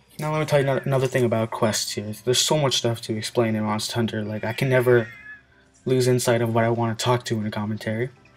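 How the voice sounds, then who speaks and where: Over music in the background, a man talks at a very fast pace with a medium pitch and fairly even intonation. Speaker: gaming video commentator. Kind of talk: let's play commentary. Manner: casual, filler-heavy; halting, stuttering.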